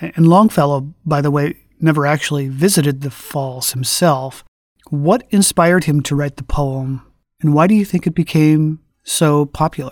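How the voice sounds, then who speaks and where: In a very clean recording with a silent background, a man with an ordinary speaking voice talks at a moderate pace and a fairly high pitch. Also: ordinary pitch variation. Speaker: podcast host. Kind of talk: interview.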